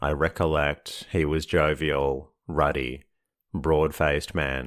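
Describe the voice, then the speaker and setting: Very slowly, a man with a very deep, low pitch speaks in a soothing tone, using vocal fry and monotone, flat intonation. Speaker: sleep podcast narrator. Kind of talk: sleep story reading of a classic novel. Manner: slow, soothing, monotone.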